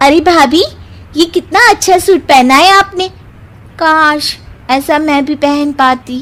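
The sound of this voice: In a cartoonish character voice, a woman with a high pitch and ordinary pitch variation speaks fairly slowly with long, frequent pauses.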